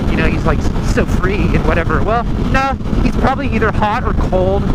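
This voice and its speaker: A fairly quick pace under loud background noise. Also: dry sound with no echo. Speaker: motorcycle rider vlogger. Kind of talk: casual vlog chat. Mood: relaxed, amused. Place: motorbike. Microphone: helmet.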